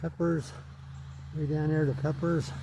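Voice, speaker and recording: A man's fairly high, somewhat breathy voice, dark and mellow in tone, with fairly even intonation at a moderate pace. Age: 80s+. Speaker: home vegetable gardener. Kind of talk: casual garden tour narration.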